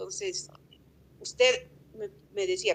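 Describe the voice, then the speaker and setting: Her intonation is lively. This woman's voice sits fairly high in pitch. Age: 50s. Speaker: tourism business representative. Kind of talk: interview. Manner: hesitant, with fillers.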